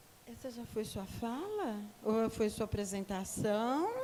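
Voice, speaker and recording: A woman speaking at a very slow pace amid noticeable background noise. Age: 60s. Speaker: activist. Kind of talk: panel discussion.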